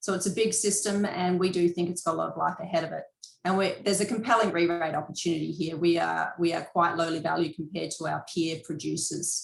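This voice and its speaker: Speaking very fast with hardly any pauses, a woman uses a fairly low pitch, fairly even intonation and vocal fry. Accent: Australian. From Western Australia. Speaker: mining company executive. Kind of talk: investor presentation. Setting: video conference.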